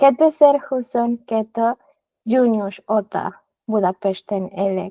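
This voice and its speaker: This voice has a dark, mellow tone and ordinary pitch variation, moving at a very slow pace in a dry, close sound with no echo. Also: woman, fairly high pitch for a woman. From Mexico. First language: Spanish (speaking Hungarian). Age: 30s. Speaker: film editor and Hungarian learner. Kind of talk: interview. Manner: halting.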